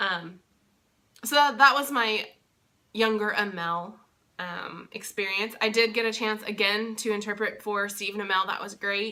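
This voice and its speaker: In a bright, sharp tone, a woman speaks at a medium pitch with ordinary pitch variation. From Texas. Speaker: vlogger and sign language interpreter. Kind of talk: casual vlog. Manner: hesitant, many fillers.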